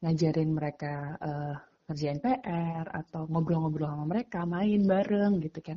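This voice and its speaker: A woman speaks at a fairly slow pace in a fairly low, somewhat breathy voice with ordinary pitch variation. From Magetan, East Java, Indonesia. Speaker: education nonprofit co-founder. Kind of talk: casual interview.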